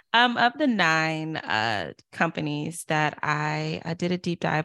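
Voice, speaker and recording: A woman with an American accent speaks at a very deep, low pitch. The recording is very clean, dry and close, with a silent background and no echo. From US South, Durham, North Carolina. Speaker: author and diversity consultant. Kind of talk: interview.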